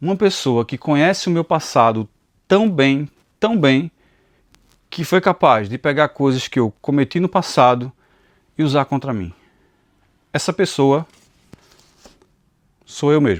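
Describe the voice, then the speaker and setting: With long, frequent pauses, a man speaks at a fairly slow pace in a fairly high pitch, the sound dry and close with no echo. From Pernambuco, Brazil (Recife and interior). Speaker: Bible teacher and YouTuber. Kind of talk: personal testimony. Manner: halting, repeats words.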